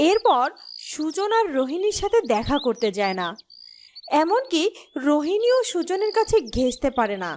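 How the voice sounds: The voice moves at a moderate pace with big pitch swings. Its tone is slightly mellow. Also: woman, high pitch for a woman.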